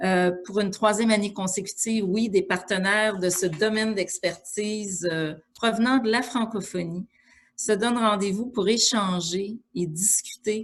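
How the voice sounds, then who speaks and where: Somewhat breathy, a woman with a Quebec accent speaks fairly slowly at medium pitch with fairly even intonation. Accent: Québécois French. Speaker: organization president giving welcome address. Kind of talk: formal welcome speech. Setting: video call webinar. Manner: hesitant, many fillers.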